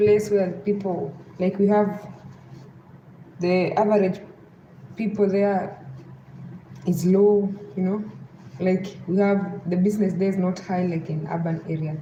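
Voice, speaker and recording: With a western Kenyan accent, a woman of medium pitch talks at a fairly slow pace with fairly even intonation and long, frequent pauses, amid audible room echo. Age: 30s. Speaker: live streamer. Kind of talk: live stream chat. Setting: at home.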